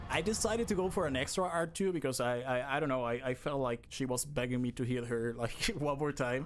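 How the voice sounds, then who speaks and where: A man with a non-native accent talks at a fairly quick pace, barely pausing, his loudness very even. His pitch is medium with ordinary variation. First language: not English. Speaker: speedrunner. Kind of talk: live gameplay commentary. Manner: halting.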